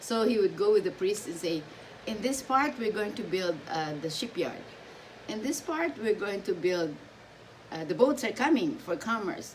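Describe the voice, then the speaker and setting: Against noticeable background noise, a woman speaks at a moderate pace with a fairly high pitch that swings very widely. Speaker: subscriber sharing family history. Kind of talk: casual chat.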